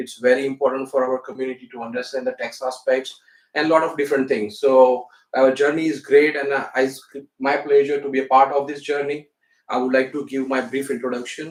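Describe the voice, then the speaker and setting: With an Indian accent, a man talks at a fairly quick pace in a medium pitch, his intonation monotone and flat. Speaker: accountant. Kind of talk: interview.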